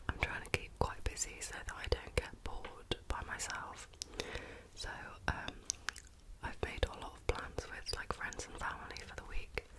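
Whispering woman at a moderate pace, with long, frequent pauses. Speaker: ASMR chat video host. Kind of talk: casual soft-spoken chat while eating. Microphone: studio mic.

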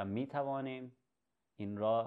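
Ordinary pitch variation over a quiet background. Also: man. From Iran, left at age 9. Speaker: educational video host. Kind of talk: tutorial. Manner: halting. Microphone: webcam.

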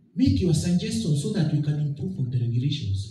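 A man speaks with a fairly high pitch and very wide pitch swings. Audible room echo surrounds his voice. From Kenya. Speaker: board chairman of a public agency. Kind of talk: formal public speech. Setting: public forum with audience and microphone. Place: hall. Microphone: podium.

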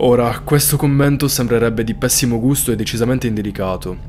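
A serious tone at a fairly quick pace with fairly even intonation, faint music in the background. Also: man. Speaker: true crime storyteller. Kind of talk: true-crime narration. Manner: suspenseful, serious storytelling. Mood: serious, suspenseful. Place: home room. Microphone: studio mic.

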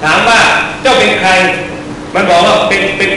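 Over noticeable background noise and strong room echo, a man projects a raised voice with fairly even intonation. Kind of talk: dharma talk with stories. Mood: humorous, jovial.

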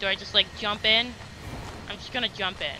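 A man speaks at a fairly quick pace with a high pitch and fairly even intonation. Clear background noise can be heard.

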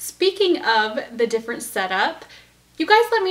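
A woman talks at a moderate pace in a raised, projected voice. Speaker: knitting podcast host. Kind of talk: casual vlog chat. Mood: cheerful, friendly. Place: home room. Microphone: camera far.

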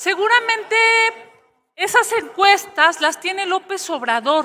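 A woman's raised, projected voice, bright and sharp in tone, at a very slow pace over a quiet background. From Mexico. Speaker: opposition senator. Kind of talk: parliamentary debate. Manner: forceful. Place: hall. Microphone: podium.

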